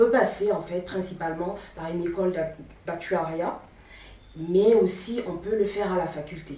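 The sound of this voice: A woman with a fairly low pitch and a dark, mellow tone speaks at a moderate pace with fairly even intonation, and audible room echo surrounds her.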